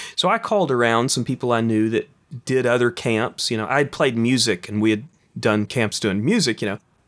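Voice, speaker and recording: Speaking in an unremarkable speaking voice with an American accent, a man keeps a medium pitch and ordinary pitch variation on a very clean recording with a silent background. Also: fairly quick pace. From East Texas, Kilgore. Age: young. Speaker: filmmaker and author. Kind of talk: interview.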